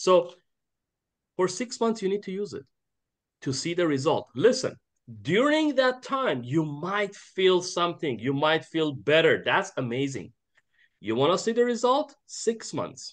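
A man with a high pitch speaks at a fairly slow pace, using very wide pitch swings. His pauses are long and frequent. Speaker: network marketing team leader. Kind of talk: online team training call. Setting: video call. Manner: animated, filler-heavy.

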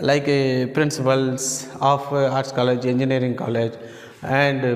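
The room echo is audible. A man's voice carries through it. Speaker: teacher. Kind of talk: lecture. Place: classroom. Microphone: camera far.

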